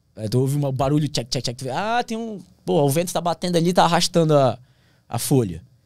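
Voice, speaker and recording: In a quiet background, a man with a fairly high pitch talks at a fairly quick pace, his pitch swinging very widely. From Brazilian Amazon. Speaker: pilot and plane crash survivor. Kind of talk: casual interview. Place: studio. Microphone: studio mic.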